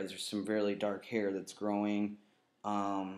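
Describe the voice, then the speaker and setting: Speaking at a very slow pace, a man uses a fairly low pitch. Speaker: video blogger. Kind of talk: vlog update. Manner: halting, many fillers.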